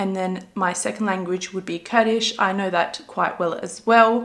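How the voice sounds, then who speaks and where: A woman with an Australian accent speaks at a medium pitch. Her pace is moderate and her pitch variation is ordinary. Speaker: beauty vlogger. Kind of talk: makeup tutorial chat. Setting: filming at home. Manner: casual chatty.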